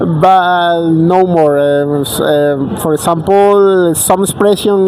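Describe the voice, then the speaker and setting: A man speaks in a high voice with a Spanish accent. Noticeable background noise runs behind him. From Colombia, Barranquilla. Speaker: traveler, interview guest. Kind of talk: casual interview. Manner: halting, many fillers and repeats.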